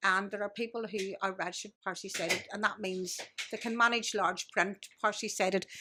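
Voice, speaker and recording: A woman's fairly quick, medium-pitched speech in a Belfast accent, with monotone, flat intonation. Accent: Belfast Northern Irish. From Northern Ireland, Belfast. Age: 60s. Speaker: blind guest sharing life experience. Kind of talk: casual interview chat.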